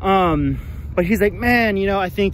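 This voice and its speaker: A man talks over noticeable background noise. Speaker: job seeker. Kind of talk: casual talk to camera.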